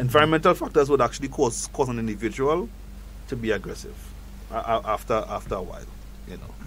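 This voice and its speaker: A man with a Grenadian accent talks at a very fast pace, broken by long, frequent pauses, with big swings in loudness. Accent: own Grenadian accent, kept. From Grenada. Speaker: psychologist. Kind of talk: radio talk show interview. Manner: halting, many repetitions.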